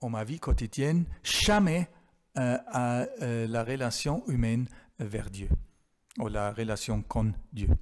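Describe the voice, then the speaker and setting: Speaking with a German accent, a man goes at a very slow pace with long, frequent pauses, a medium pitch and ordinary pitch variation. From Germany. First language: German (speaking French). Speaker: theology professor. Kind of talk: Q&A after lecture. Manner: halting, many hesitations.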